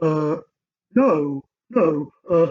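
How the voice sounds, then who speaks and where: It is a put-on character voice at a middle pitch. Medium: read story. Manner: hesitant, giggly.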